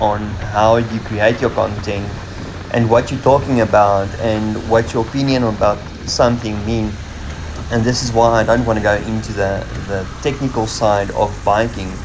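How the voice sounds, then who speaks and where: Audible room echo and noticeable background noise surround the recording. A man with a fairly low pitch speaks at a moderate pace with fairly even intonation. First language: Afrikaans. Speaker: motorcycle vlogger. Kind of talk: casual vlog monologue. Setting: riding a motorcycle with helmet camera. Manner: halting, many fillers.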